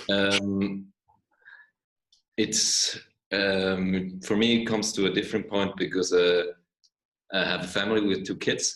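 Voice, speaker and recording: A man speaks at a fairly low pitch and a fairly slow pace. His intonation is monotone and flat, with long, frequent pauses. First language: not English. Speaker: workshop participant. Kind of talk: casual sharing. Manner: halting.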